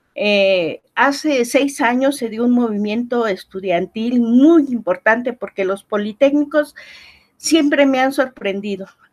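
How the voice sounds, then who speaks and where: A woman with a high pitch at a fairly slow pace. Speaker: professor. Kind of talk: interview.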